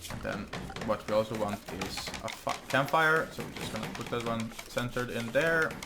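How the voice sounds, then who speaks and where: Backed by music, a man speaks at medium pitch and a moderate pace with fairly even intonation. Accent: Norwegian. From Norway. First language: Norwegian. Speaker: gaming YouTuber. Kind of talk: let's play gameplay commentary. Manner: halting, many fillers.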